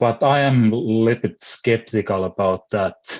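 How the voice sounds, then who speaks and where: The speaker is a man with a Finnish accent. His voice sits fairly low. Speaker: philosopher. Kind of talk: panel discussion. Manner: halting.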